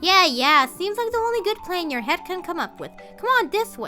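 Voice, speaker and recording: A woman uses a put-on character voice at a moderate pace. Clear music plays in the background. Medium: solo performance. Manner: sarcastic, scornful.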